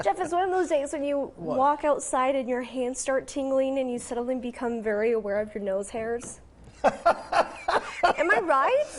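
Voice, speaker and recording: A woman with an American accent speaks in an upbeat tone at a high pitch with lively intonation. Her pace is moderate, with noticeable background noise. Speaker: morning news anchor and reporter. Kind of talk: TV news anchor and reporter delivery. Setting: TV studio morning show. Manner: upbeat, clear, professional.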